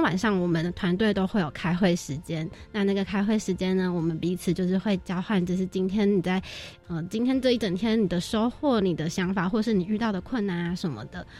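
With music playing in the background, a woman at a medium pitch talks at a fairly quick pace with ordinary pitch variation. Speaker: university student, volunteer team leader. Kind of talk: radio interview.

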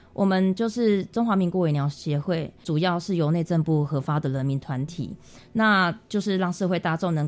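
A woman's fairly low voice with hardly any pauses, music playing in the background. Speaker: makeup artist and association founder. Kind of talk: radio interview.

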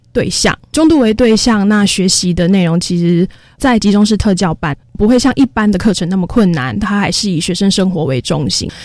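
A woman with a plain, everyday voice talks at a moderate pace and medium pitch, her intonation lively. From Taiwan, Taoyuan. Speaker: special education teacher. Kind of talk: radio interview.

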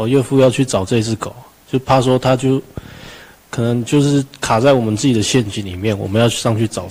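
Fairly even in intonation, the talking moves along at a fairly quick clip. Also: man, medium pitch for a man. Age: young. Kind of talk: interview conversation. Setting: radio studio with video stream. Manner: quiet.

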